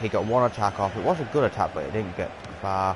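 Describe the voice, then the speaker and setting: Lively intonation marks this man's fairly low voice and American accent. He talks at a very fast pace over noticeable background noise. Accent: English, with some American pronunciations. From England. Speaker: gaming video creator. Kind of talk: gameplay commentary. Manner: animated.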